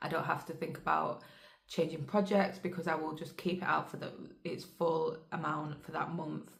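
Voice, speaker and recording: A woman with a fairly low pitch and monotone, flat intonation at a moderate pace, amid noticeable background noise and audible room echo. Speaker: cross-stitch vlogger. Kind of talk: casual chat.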